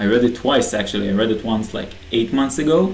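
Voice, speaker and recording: At a moderate pace and medium pitch, a man speaks with ordinary pitch variation, and the room echo is audible. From Israel. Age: young. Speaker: aspiring online entrepreneur. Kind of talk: personal video message. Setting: bedroom, self-recorded video. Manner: casual, hesitant with fillers.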